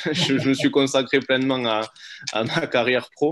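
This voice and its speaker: This man talks at a fairly slow pace. His intonation stays fairly even. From Toulouse area, France (Auvergne-born, moved at two). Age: 30s. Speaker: business partner guest, real estate professional. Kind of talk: casual interview. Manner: hesitant, many fillers.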